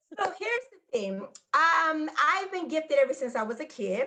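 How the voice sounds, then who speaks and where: A woman with an American accent speaks in a raised, projected voice. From US Midwest, Gary, Indiana. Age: 40s. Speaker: psychic medium and Reiki master. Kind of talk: personal testimony in interview.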